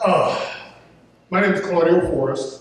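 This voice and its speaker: Someone with an American accent speaks at a very slow pace, with audible room echo. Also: man. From Detroit, US Midwest. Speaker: town councilman. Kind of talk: campaign speech at candidate forum. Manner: halting, repeats words.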